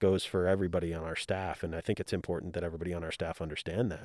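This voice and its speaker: A man speaks in a very deep, low voice with an American accent and a monotone, flat intonation. The recording is very clean with a silent background and a dry, close sound with no echo. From Utah. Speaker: soccer club general manager. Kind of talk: interview.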